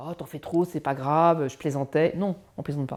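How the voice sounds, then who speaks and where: A dark, mellow-toned woman speaks at a fairly quick pace on a very clean recording with a silent background. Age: 60s. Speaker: LGBT workplace inclusion advocate. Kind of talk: interview testimony. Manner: hesitant with frequent fillers.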